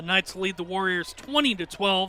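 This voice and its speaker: A man speaks in a raised, projected voice. His pitch sits high. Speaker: basketball play-by-play announcer. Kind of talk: live TV sports play-by-play commentary. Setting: arena broadcast with crowd noise.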